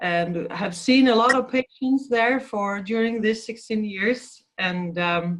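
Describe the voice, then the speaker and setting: In a Swedish accent, a woman with a fairly high pitch speaks at a very slow pace. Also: ordinary pitch variation, hardly any pauses. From Sweden. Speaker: physiotherapist. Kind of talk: interview. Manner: halting.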